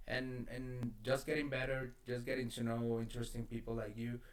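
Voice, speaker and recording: A man with a non-native accent, at a fairly slow pace. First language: not English. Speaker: podcast host. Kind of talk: casual chat. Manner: halting.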